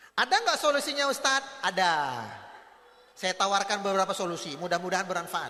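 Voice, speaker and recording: A raised, projected voice at a very fast pace with lively intonation over noticeable background noise. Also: man, high pitch for a man. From North Sumatra, Batak. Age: 40s. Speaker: Islamic preacher. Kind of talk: parenting lecture to parents and teachers. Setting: convention hall with audience. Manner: animated storytelling with acted dialogue.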